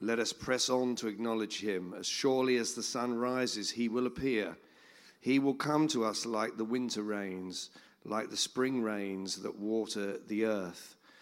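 A man with a normal speaking voice talks at a fairly slow pace, medium in pitch and fairly even in intonation. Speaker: church member sharing a scripture. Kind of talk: sharing a word. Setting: church gathering with audience.

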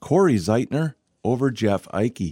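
Very slowly, a man speaks in a dark, mellow tone at medium pitch, in a very clean recording with a silent background and a dry, close sound free of echo. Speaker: radio host. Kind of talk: radio show hosting, interview and ad reads. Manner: polished, clear, professional announcer delivery.

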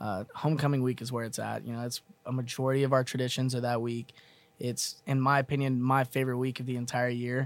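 Speaking very fast in a monotone, flat way, a man keeps to a medium pitch. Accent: Texan. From Texas, Mesquite. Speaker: college student peer financial coach. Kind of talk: casual chat.

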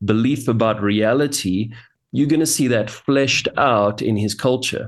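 A man in a South African accent speaks at medium pitch and a moderate pace, his intonation fairly even. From South Africa, Johannesburg. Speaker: pastor and author. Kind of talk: interview.

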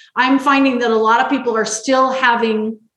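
A woman at a high pitch and a fairly quick pace, with audible room echo. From Las Vegas, Nevada, US. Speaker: healthy eating coach. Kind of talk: podcast interview.

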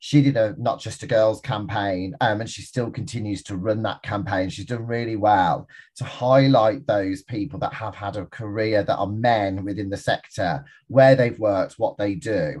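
A man with a Birmingham accent talks at a moderate pace in a fairly low, somewhat breathy voice with ordinary pitch variation. He takes hardly any pauses, and the background is quiet. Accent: Birmingham (Brummie). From Birmingham, England. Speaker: entrepreneur, business forum founder. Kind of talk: interview conversation. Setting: video call.

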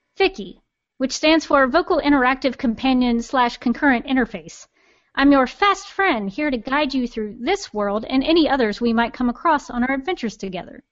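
A female-sounding put-on character voice, nasal and high in pitch. It moves at a fairly quick pace. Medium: audio drama. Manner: snarky, attitude-filled.

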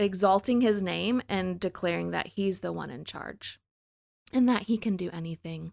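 A woman with an American accent is heard in a dry, close sound with no echo, her loudness swinging widely. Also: moderate pace. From US South, New Orleans. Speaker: school founder and educator. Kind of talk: casual interview.

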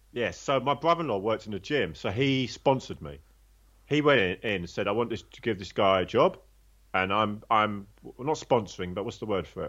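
A man with a London accent talks at a fairly quick pace, his fairly low pitch carrying lively intonation and big swings in loudness. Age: 50s. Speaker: former prisoner turned personal trainer. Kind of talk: interview testimony.

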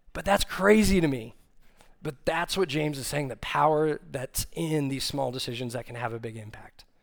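A man with an unremarkable speaking voice and an American accent, fairly high in pitch, with lively intonation at a moderate pace. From Texas, Austin. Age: 30s. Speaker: young adult ministry staff, preacher. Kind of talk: sermon. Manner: casual with frequent fillers.

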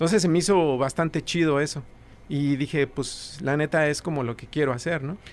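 At a moderate pace, a man with a fairly high pitch speaks with fairly even intonation. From Mexico City. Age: young. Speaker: rock musician. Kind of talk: casual interview chat.

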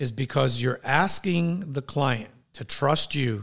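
Here a man speaks at a very slow pace. His pitch is fairly high, with ordinary pitch variation. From New York City and Puerto Rico. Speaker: leadership coach and coach trainer. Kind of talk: interview.

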